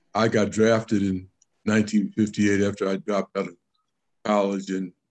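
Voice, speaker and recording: A man with an American accent speaks in a monotone, flat intonation at a fairly low pitch. The background is quiet. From New York State. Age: 80s+. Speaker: former mayor. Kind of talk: panel discussion. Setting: video call. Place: home room. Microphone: webcam.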